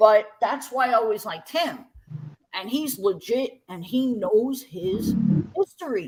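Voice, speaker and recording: Speaking in a Brooklyn accent, a woman with a fairly high pitch talks at a fairly slow pace in an animated tone, her lively intonation matched by big swings in loudness. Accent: New York (Brooklyn). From Brooklyn, New York. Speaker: breakdancer. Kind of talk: casual interview chat.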